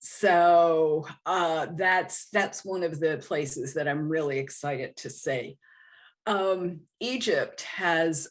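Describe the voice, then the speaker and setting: Against a quiet background, a woman with a fairly low voice speaks very slowly with fairly even intonation. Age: 70s. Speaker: guest on aging podcast, solo traveler. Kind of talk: podcast interview. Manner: halting, many fillers and repeats.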